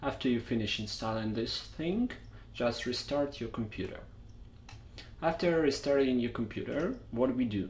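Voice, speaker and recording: A Russian accent with long, frequent pauses and audible room echo. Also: man, moderate pace. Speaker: software tutorial maker. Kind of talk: tutorial. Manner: casual, unscripted.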